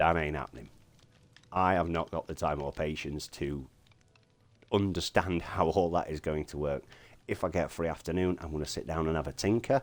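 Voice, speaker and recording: Speaking at a moderate pace, a man with a very deep voice and vocal fry shows ordinary pitch variation. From Yorkshire, England. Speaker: Minecraft streamer. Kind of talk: tutorial explanation.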